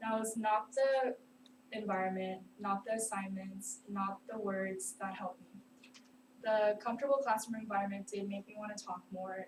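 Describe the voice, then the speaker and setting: At a moderate pace, a woman speaks with a fairly high, somewhat breathy voice and fairly even intonation. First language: not English. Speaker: student. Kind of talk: class speech. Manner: hesitant, many fillers.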